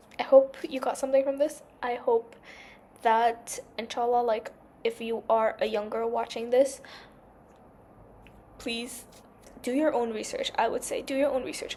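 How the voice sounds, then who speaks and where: A woman with a high pitch and a dark, mellow tone speaks at a moderate pace in a monotone, flat intonation with long, frequent pauses. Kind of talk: casual chat. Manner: rambling, chatty.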